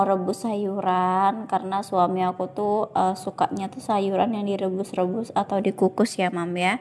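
A woman's dark, mellow tone at a fairly slow pace. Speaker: cooking vlogger, housewife. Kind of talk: voiceover narration of cooking vlog. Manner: casual, chatty with fillers.

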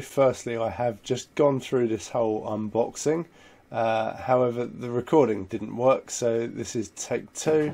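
A man speaks with a dark, mellow tone. He hardly pauses at all. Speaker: product reviewer. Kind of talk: unboxing commentary.

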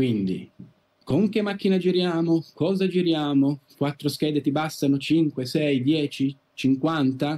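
Very slow and at very even loudness, a man speaks in a fairly high voice with a dark, mellow tone and ordinary pitch variation. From Italy, Turin; Italy. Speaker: first camera assistant; podcast guest. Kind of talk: interview. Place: home room. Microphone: video call.

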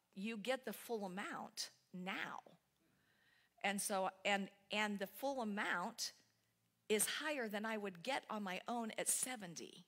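A woman at a very slow pace, with long, frequent pauses, ordinary pitch variation and a quiet background. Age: 60s. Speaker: spiritual speaker; speaker. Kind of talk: sermon. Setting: church. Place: church.

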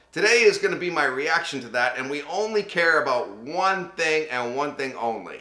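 The room echo is audible as a man talks at a fairly quick pace. His intonation is lively. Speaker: voice actor. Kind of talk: casual talk to camera. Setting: studio. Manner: casual, chatty, humorous. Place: home room.

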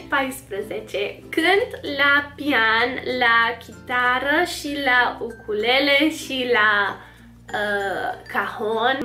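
Over music in the background, a woman speaks very slowly at a high pitch with ordinary pitch variation. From United States. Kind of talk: casual talk to camera. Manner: upbeat.

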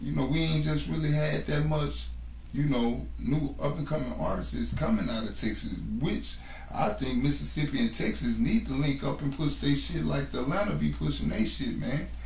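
Noticeable background noise behind a man's moderate pace. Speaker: rapper. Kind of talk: interview answer. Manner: casual, laid-back.

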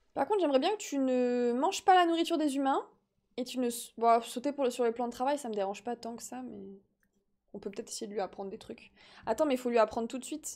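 In a very clean recording with a silent background, a woman talks at a very fast pace in an animated tone, her high voice showing ordinary pitch variation and big swings in loudness. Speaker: gaming streamer. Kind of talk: casual live-stream chat while playing. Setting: live stream, replayed video. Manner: animated, chatty.

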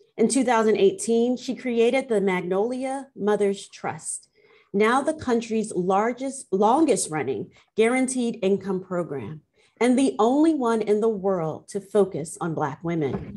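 A woman's dark, mellow voice moves at a fairly slow pace. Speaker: law professor. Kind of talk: panel moderation. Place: office. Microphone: video call.

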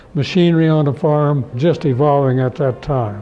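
With a Midwestern American accent, a man speaks in a fairly high voice at a moderate pace. His intonation is fairly even, with faint music in the background. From southwest Kansas. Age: 80s+. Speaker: farmer and rancher, World War II veteran. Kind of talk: interview answer. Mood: warm, reminiscing. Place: office. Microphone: lapel.

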